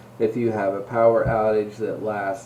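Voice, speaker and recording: Audible room echo follows a man as he speaks fairly slowly in a flat monotone at a fairly low pitch. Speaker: school administrator. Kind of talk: school announcements. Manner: casual, joking.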